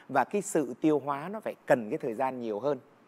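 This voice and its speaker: Very wide pitch swings in a man's fairly high-pitched voice. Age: 50s. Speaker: singer; talk show guest. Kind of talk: casual chat. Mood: earnest, explanatory. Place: studio.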